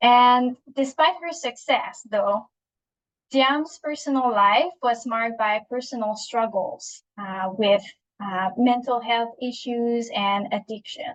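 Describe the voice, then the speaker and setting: A high-pitched woman in a Quebec accent at a very slow pace. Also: ordinary pitch variation. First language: French. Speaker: psychologist and webinar speaker. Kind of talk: webinar presentation. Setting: online webinar. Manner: halting, many fillers and restarts.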